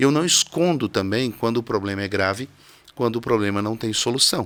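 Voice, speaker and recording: A man at medium pitch, fairly quick in pace, with ordinary pitch variation. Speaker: criminal defense lawyer. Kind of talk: studio interview. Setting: TV studio. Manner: simple and direct.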